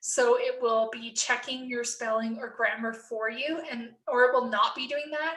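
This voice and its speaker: With a Canadian accent, a woman projects a raised, high-pitched voice. Her tone is bright and sharp, and her pace is moderate. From Canada. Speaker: nursing professor. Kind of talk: tutorial. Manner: casual, conversational.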